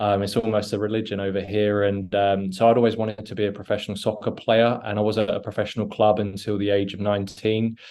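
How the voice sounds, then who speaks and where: With an English accent, a man talks at a very fast pace with hardly any pauses, in a fairly low pitch and a monotone, flat intonation. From England. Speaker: former college soccer player, alumnus. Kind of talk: interview.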